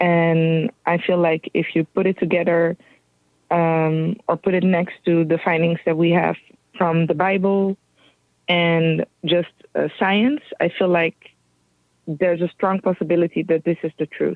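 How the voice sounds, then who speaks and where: A woman speaks at a fairly slow pace in a fairly low pitch. Her intonation is monotone and flat, with very even loudness. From Central and East Africa. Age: 30s. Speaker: guest researcher on a theory. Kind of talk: interview. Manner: halting, many fillers.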